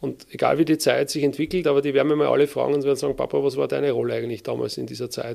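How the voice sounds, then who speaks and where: The background is silent in this very clean recording. The speaker is a man. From Lower Austria, Wiener Neustadt area. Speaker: army officer. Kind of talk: interview.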